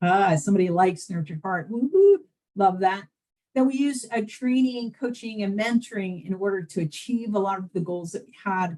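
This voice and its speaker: A woman with an American accent speaks at a moderate pace and medium pitch, with ordinary pitch variation. Her tone is dark and mellow, somewhat breathy, with big swings in loudness. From New Jersey. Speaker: behavioral health system presenter. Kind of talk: webinar presentation. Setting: online webinar.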